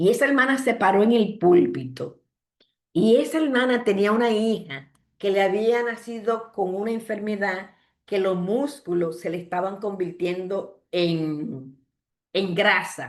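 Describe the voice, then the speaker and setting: A woman with an unremarkable speaking voice talks at a fairly slow pace and a medium pitch. Her intonation is lively, and the background is quiet. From Dominican Republic, Santo Domingo. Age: 60s. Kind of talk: sermon.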